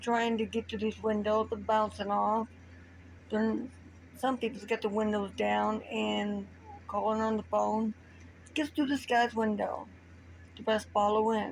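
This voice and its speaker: A soft-spoken woman talks at a fairly slow pace with long, frequent pauses. Her loudness stays very even. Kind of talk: improvised story told to camera. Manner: quiet, soft-spoken.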